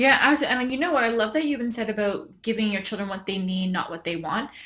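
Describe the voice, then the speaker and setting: A woman's voice at a medium pitch. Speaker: podcast host. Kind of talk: interview.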